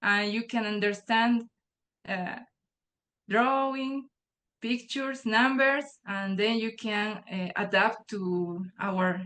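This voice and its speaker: Speaking very slowly with long, frequent pauses, a woman with a Spanish accent has a fairly high pitch and a bright, sharp tone. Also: ordinary pitch variation. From Bolivia. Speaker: nature journaling guide author. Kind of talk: online workshop remarks. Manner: halting, repeats words.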